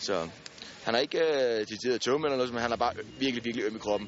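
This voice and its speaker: Speaking at a very fast pace with fairly even intonation, a man with a medium-pitched voice is heard over noticeable background noise. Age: 20s. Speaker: injured soldier, amputee. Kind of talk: casual interview.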